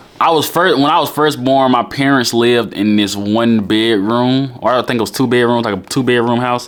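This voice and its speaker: Amid noticeable background noise, a man with a medium pitch talks at a moderate pace with very even loudness, ordinary pitch variation and hardly any pauses. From Alabama, Birmingham. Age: 20s. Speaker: YouTuber. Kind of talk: casual Q&A vlog.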